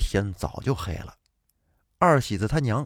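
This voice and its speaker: On a very clean recording with a silent background, a man of medium pitch talks at a moderate pace with vocal fry and very wide pitch swings. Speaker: storytelling podcast host. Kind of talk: storytelling narration.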